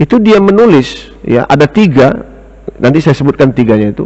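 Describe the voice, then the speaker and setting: His pitch swings very widely. This man's voice sits fairly high. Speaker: Islamic teacher and economics lecturer. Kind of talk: religious lecture. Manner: slow, deliberate; lowered volume.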